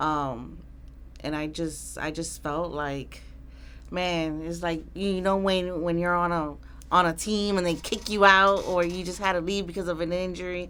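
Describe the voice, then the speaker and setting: A woman's fairly low, fairly slow voice in a New York accent, bright and sharp in tone, with fairly even intonation. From Queens, New York. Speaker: Army veteran. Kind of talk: interview answer.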